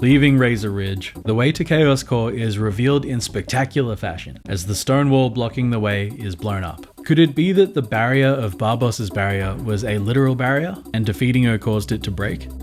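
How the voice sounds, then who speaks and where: With music in the background, a man speaks at a medium pitch and moderate pace. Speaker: video game commentator. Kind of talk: video essay narration. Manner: casual, wry.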